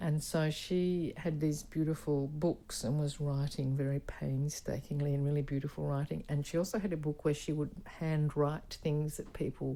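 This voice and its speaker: A woman with an Australian accent, very deep and low in pitch, dark and mellow in tone, at a moderate pace with fairly even intonation and hardly any pauses. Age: 70s. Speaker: performance artist. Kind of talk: interview. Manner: halting.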